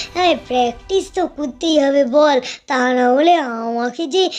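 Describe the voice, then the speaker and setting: This female-sounding cartoonish character voice sits at a high pitch for a woman. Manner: fretful, old-fashioned speech.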